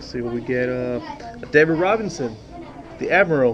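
A man at medium pitch and moderate pace, lively in intonation, over faint background noise and faint crowd noise

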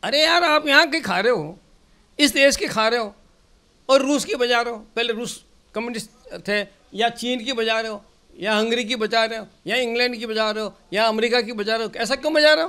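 A man speaks in a raised, projected voice with a bright, sharp tone. His pitch is extremely high, with ordinary pitch variation. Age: 70s. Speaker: senior politician, former assembly speaker. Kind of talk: interview. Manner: animated.

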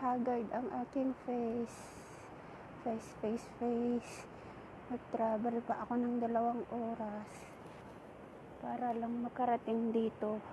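Very slowly, a woman speaks in a monotone, flat way with long, frequent pauses. Noticeable background noise sits under a dry sound with no echo. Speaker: solo traveler vlogger. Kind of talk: casual vlog chat. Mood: cheerful, chatty. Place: beach. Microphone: earbuds.

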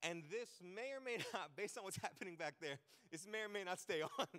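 Over a quiet background, a man speaks at a very fast pace in a bright, sharp tone. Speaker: preacher. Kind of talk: sermon. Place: stage. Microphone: handheld.

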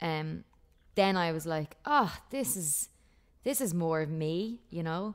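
In an Irish accent, a woman with a fairly low pitch speaks at a very slow pace against a quiet background. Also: lively intonation. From Ireland. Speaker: country singer-songwriter. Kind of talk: casual interview chat. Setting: video call. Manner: laughs often, chatty.

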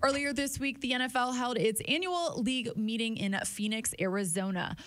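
At a moderate pace, a woman speaks in a plain, everyday voice. Her pitch is fairly high with ordinary variation. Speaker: team podcast host. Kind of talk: casual chat. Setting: studio. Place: studio. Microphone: studio mic.

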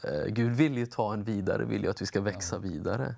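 This man speaks at a moderate pace with lively intonation and vocal fry. The background is quiet. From Östergötland, Sweden (Linköping); Östergötland, Sweden. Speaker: bible school principal; talk show guest. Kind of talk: interview. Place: studio. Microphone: lapel.

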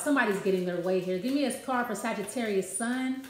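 The recording carries audible room echo. There is light background noise too. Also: woman. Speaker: card reader. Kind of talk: casual card reading talk to viewers. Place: kitchen. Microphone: phone near.

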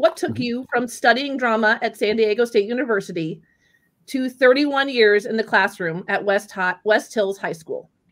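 Moderate pace and ordinary pitch variation from a woman with a fairly high voice. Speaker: educator and show host. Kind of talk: casual chat. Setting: video call. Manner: animated.

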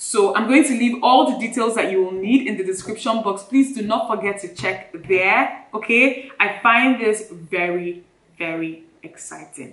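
A woman talks at a fairly slow pace. Room echo is audible. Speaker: lifestyle vlogger. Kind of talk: product review vlog chat. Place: home room.

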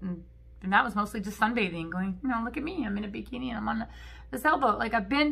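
With lively intonation, a woman talks in a bright, sharp tone. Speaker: vlogger. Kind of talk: casual vlog chat. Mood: candid, animated. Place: home room. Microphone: phone near.

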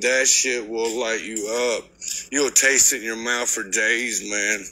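With light background noise behind him, a man talks at a fairly slow pace. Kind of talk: casual vlog chat explaining mixing coatings. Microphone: phone near.

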